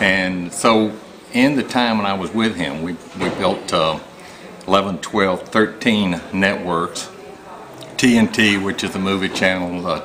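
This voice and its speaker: Over noticeable background noise, a man with a fairly low pitch speaks at a fairly slow pace with ordinary pitch variation and long, frequent pauses. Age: 60s. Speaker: business executive. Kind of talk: promotional testimony. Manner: halting, many fillers.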